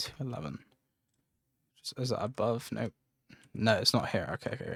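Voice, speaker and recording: Medium-pitched male voice with vocal fry at a fairly quick pace, in a very clean recording with a silent background. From English Midlands. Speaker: video game streamer. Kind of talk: casual gameplay livestream chat.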